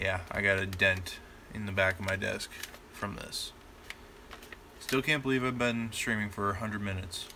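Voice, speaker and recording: Room echo and noticeable background noise surround a man with a fairly low pitch. His pitch varies in an ordinary way, and he takes long, frequent pauses. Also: moderate pace. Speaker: YouTuber, toy blaster modder. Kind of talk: live stream casual chat. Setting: home workshop live stream. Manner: casual, unrehearsed.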